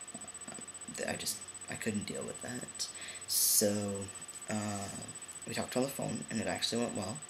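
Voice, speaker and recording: Over noticeable background noise and audible room echo, a man speaks at a fairly slow pace with long, frequent pauses. His intonation is fairly even. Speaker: vlogger. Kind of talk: personal vlog update. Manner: hesitant, many fillers.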